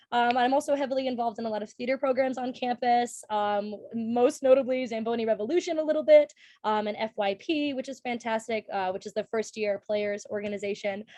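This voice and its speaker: A woman's fairly high voice in a Minnesotan accent, fairly quick, with ordinary pitch variation. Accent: Minnesota. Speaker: college student. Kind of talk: casual chat. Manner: animated.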